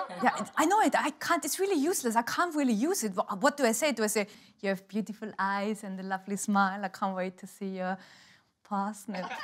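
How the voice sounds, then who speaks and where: With an Austrian accent, a woman talks at a fairly quick pace using lively intonation. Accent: German-speaking Austrian. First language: German. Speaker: stand-up comedian. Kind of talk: live stand-up comedy set. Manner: exuberant.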